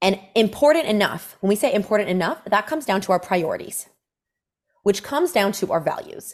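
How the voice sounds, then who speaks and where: A woman speaks in a medium pitch with an animated tone. Her pitch swings very wide. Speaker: fitness coach. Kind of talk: casual chat.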